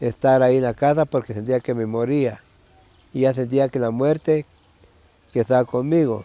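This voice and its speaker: This man's voice has a dark, mellow tone at a medium pitch, moving at a moderate pace with fairly even intonation. The sound is dry and close, with no echo. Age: 60s. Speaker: churchgoer giving testimony. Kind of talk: testimony. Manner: halting.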